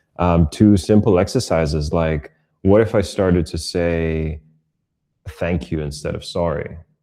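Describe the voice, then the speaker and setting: Very deep and low in pitch with a dark, mellow tone, a man speaks at a fairly slow pace with a non-native accent. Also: ordinary pitch variation. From Europe, raised moving between several countries. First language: not English. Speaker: online content creator and coach. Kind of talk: podcast interview conversation. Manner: reflective, with many fillers.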